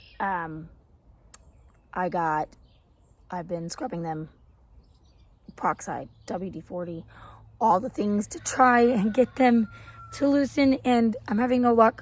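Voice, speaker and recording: Her voice somewhat breathy and fairly high, a woman speaks at a fairly slow pace with lively intonation. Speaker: homesteader and gardening vlogger. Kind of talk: casual vlog. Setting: outdoors.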